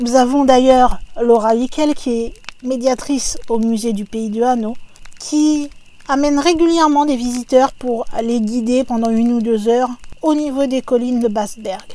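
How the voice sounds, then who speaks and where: Fairly slow, fairly even speech from a woman with a high-pitched voice. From France, not Alsace. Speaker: YouTube narrator of paranormal stories. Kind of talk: narration of a legend. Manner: casual, conversational.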